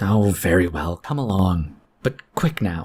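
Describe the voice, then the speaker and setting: A man's put-on character voice, very deep and low in pitch, raspy, with lively intonation and a fairly slow pace. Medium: read story. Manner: blunt, terse.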